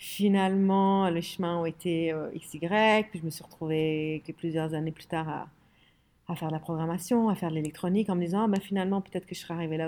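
Speaking at a fairly quick pace, a woman has a fairly low pitch, a dark, mellow tone and ordinary pitch variation. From Lebanon (Beirut), later Middle East and France. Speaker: design studio co-founder. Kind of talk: interview.

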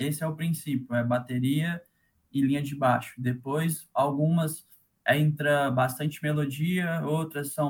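A man's fairly high, somewhat breathy voice, flat and monotone, at a fairly slow pace. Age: 20s. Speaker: electronic music producer and DJ. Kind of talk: casual interview.

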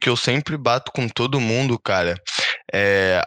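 A man with a medium pitch and a bright, sharp tone talks at a moderate pace with lively intonation. The sound is dry and close, with no echo. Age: 20s. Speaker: podcast co-host. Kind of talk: casual chat. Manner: loud.

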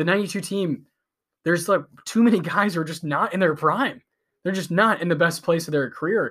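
On a very clean recording with a silent background, a man with an American accent talks fairly quickly in a high voice. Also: ordinary pitch variation. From US. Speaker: podcast co-host. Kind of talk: casual podcast discussion.

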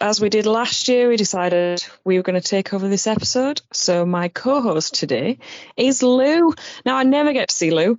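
A woman speaks with a Yorkshire accent at a fairly high pitch. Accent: Barnsley, Yorkshire. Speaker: podcast co-host.

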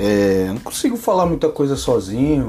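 A man's medium-pitched voice, fairly slow, with a dark, mellow tone and lively intonation. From Brazil, Limeira (São Paulo state). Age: 20s. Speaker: podcaster, maintenance worker. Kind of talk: casual solo monologue. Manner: halting.

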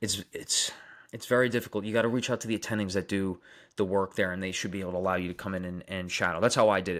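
A man speaks at a very fast pace in a Long Island accent. The recording is very clean, with a silent background. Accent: Long Island New York. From Long Island, New York. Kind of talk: casual live chat answering viewers.

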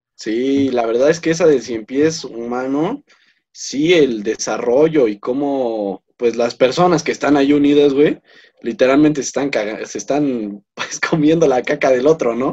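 A man's fairly high-pitched voice with a Mexican accent, a dark, mellow tone, ordinary pitch variation and a fairly slow pace. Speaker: podcast co-host. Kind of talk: casual chat.

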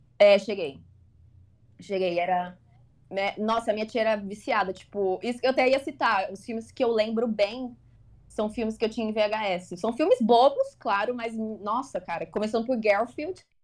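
The woman has an unremarkable speaking voice and a fairly high pitch. She talks at a moderate pace with ordinary pitch variation. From Brazil, São Paulo area. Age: 20s. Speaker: film enthusiast. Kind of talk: casual chat.

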